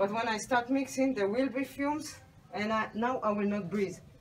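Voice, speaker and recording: A woman speaks with lively intonation at a fairly high pitch. Noticeable background noise can be heard. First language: Hebrew. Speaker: soapmaker. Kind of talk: tutorial. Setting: home workshop, partly on a balcony.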